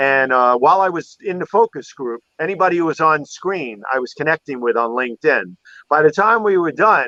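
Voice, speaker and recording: Speaking with a Manhattan accent, a man talks at a fairly quick pace in a dry, close sound with no echo. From New York City, Manhattan. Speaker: photography show host, guest. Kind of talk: casual chat on a live stream.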